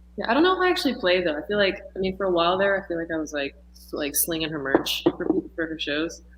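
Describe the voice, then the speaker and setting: A woman at a very fast pace with hardly any pauses and ordinary pitch variation, over noticeable background noise. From Texas. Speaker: musician and dancer. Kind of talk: casual interview chat. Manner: halting, many fillers.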